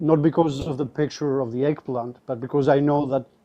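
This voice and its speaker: A man's fairly high, monotone voice, dark and mellow in tone, at a moderate pace. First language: not English. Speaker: caller on live debate stream. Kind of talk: debate.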